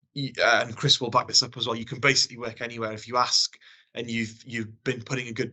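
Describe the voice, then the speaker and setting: Talking at a fairly quick clip, a man delivers his words in a flat monotone. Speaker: engineering degree apprentice. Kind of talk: panel discussion.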